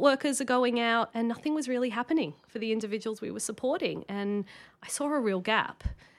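A woman with an Australian accent, fairly high in pitch and fairly quick in pace, in a very clean recording with a silent background. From Sydney, Australia (eastern suburbs). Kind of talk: podcast interview.

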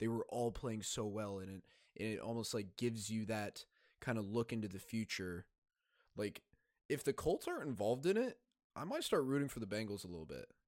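With a dry, close sound and no echo, a man with an unremarkable speaking voice talks at a fairly quick pace and medium pitch. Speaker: podcast host. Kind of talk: casual chat.

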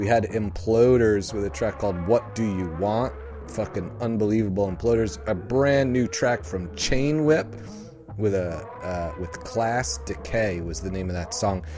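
Over background music, a man speaks at a fairly slow pace in a fairly low pitch. His intonation is lively and his tone upbeat. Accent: American. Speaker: punk radio host. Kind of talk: radio DJ patter, holiday sign-off. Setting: radio studio show. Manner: jokey, laughing, upbeat; casual, loose, swearing.

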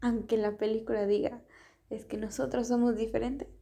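Speaking at a moderate pace, a woman keeps her fairly high voice at a fairly even intonation. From Ecuador. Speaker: podcaster. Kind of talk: casual monologue.

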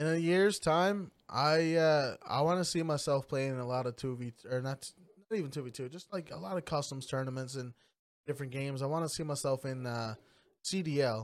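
At a fairly quick pace, a man talks in a fairly high pitch with ordinary pitch variation and an ordinary speaking voice, on a very clean recording with a silent background. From Newfoundland, Canada (small community). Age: 20s. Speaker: gamer and streamer. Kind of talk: casual interview chat.

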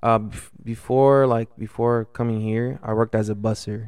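In an American accent, a man speaks at medium pitch and a moderate pace with monotone, flat intonation against a quiet background. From Los Angeles, California. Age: 20s. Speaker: restaurant server. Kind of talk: casual chat.

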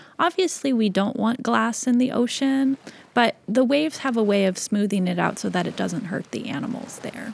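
A woman with an American accent speaks at a moderate pace in a fairly high voice, her intonation lively. Noticeable background noise runs behind her. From US Pacific Northwest, Seattle. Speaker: author and comic illustrator. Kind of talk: interview.

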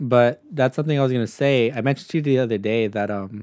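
Recorded with a dry, close sound and no echo, a man uses a plain, everyday voice at medium pitch and a fairly quick pace, with ordinary pitch variation. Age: 20s. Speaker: podcast co-host and construction business owner. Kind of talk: casual chat.

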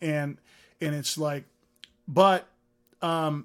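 A man speaks in a high-pitched voice with an American accent. The recording is very clean, with a silent background. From US, San Francisco Bay Area. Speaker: music tech founder and CEO. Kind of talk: interview. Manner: animated.

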